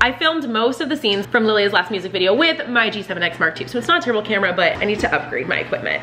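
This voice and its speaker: Clear music plays in the background. Over it, a woman speaks at a very fast pace. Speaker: family vlogger. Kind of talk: casual vlog chat. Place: kitchen.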